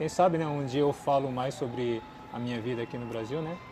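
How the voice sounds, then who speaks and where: At a moderate pace, a man with a Japanese accent speaks with ordinary pitch variation. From Japan, with childhood stays in Brazil. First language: Japanese (speaking Portuguese). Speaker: YouTuber and language teacher. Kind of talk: Q&A chat.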